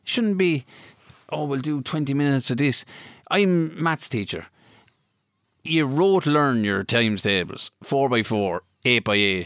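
A man speaks in a Kilkenny Irish accent at a fairly slow pace with a fairly high pitch. His pitch swings very widely, and his pauses are long and frequent. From Ireland, County Kilkenny. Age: 30s. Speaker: former hurler. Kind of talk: casual interview. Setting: studio.

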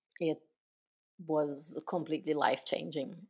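Someone speaks with a Portuguese accent on a very clean recording with a silent background. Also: woman. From southern Brazil, Porto Alegre. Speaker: business founder. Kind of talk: interview.

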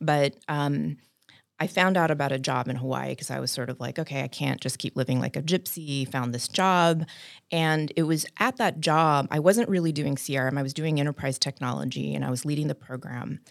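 Vocal fry runs through this voice with an American accent and ordinary pitch variation. The pace is fairly quick, and the recording is very clean with a silent background. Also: woman, very deep, low pitch for a woman. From South Texas, San Antonio. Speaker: business founder and CEO. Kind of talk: casual interview.

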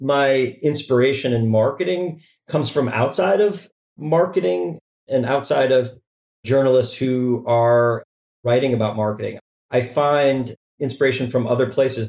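A man talks at a moderate pace with medium pitch and ordinary pitch variation. It is an ordinary speaking voice, and its loudness is very even. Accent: American. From Chicago. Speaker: chief marketing officer. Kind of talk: casual interview.

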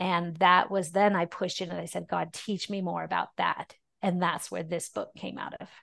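A woman at a moderate pace with hardly any pauses. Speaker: fitness professional and ministry founder. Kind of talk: casual interview.

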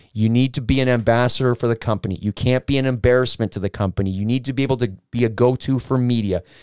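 A man talks fairly quickly in a normal speaking voice, at medium pitch with ordinary pitch variation. The sound is dry and close with no echo, on a very clean recording with a silent background. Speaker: independent wrestler. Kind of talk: casual chat.

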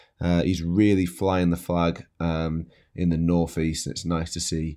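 Here a man speaks in a Yorkshire accent at a fairly quick pace. His tone is dark and mellow. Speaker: podcast host and chef. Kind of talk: scripted narration.

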